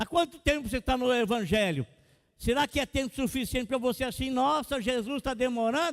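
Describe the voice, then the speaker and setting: A man speaks at an extremely high pitch. The sound is dry and close, with no echo. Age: 60s. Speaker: pastor. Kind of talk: sermon.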